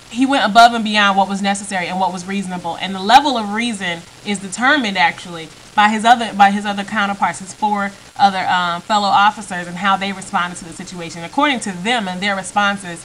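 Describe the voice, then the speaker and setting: Noticeable background noise sits behind a woman speaking at a very fast pace and medium pitch. Her intonation is fairly even, but her loudness swings a lot. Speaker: video blogger. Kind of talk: opinion vlog monologue. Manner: halting, many fillers.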